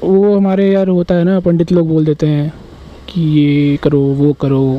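Over faint background noise, a man speaks fairly slowly in a fairly high voice whose pitch barely moves.

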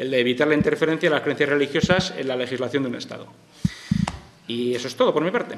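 Noticeable background noise sits under a man's fairly high voice, which has ordinary pitch variation. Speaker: professor. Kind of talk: panel talk. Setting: stage with audience.

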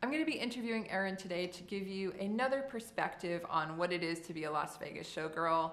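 At a very fast pace with hardly any pauses, a woman speaks at a medium pitch with lively intonation. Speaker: Las Vegas showgirl. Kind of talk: casual talk to camera. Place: home room.

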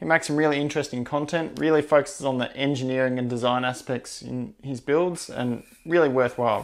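Speaking at a fairly quick pace with an Australian accent, a man shows ordinary pitch variation over a quiet background. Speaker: machinist and maker YouTuber; maker YouTuber. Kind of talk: video narration / workshop update. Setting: home workshop. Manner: fast-paced. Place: workshop. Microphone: lapel.

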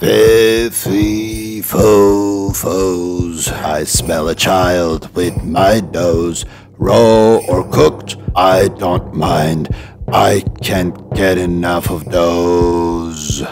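The pace is very slow in a put-on character voice. Background noise is clearly audible. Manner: menacing.

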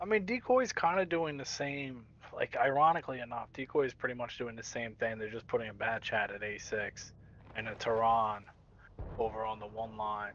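Medium in pitch, a man talks with an East Coast US accent. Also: ordinary pitch variation, moderate pace. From US East Coast. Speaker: esports caster, co-commentator. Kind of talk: live commentary.

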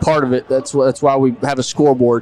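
A man's slightly mellow voice at medium pitch, fairly even in intonation, over faint background noise

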